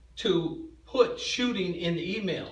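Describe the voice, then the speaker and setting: Over noticeable background noise and audible room echo, a man speaks very slowly at a high pitch. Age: 60s. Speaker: parent in school dispute. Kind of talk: heated argument. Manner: agitated, interrupting, repeating words.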